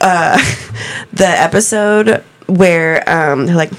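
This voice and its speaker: A woman with an American accent speaks at a very slow pace and a fairly low pitch. Her pitch varies in an ordinary way, and there is noticeable background noise. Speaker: podcast host being interviewed. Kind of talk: casual chat, joking.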